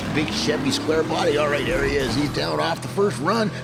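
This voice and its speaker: A man speaks in an upbeat, energetic tone over noticeable background noise. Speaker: diecast racing commentator. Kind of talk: sports play-by-play commentary.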